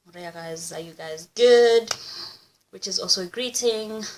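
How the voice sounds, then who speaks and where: A woman speaks with a Kenyan accent and lively intonation. Her pace is fairly slow. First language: Kikuyu. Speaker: YouTuber. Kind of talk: casual vlog, language examples. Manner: casual, animated.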